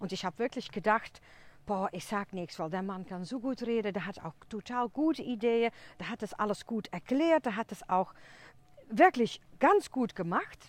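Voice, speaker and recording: A woman with a non-native accent speaks at a moderate pace and a fairly high pitch. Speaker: podcast host. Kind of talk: casual monologue. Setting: outdoors in a forest. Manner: chatty, talkative.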